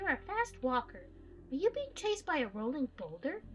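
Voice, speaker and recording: Putting on a squeaky character voice, a woman speaks at a moderate pace at an extremely high pitch with very wide pitch swings, over clear background noise. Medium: game stream. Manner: warm, folksy, full of sayings.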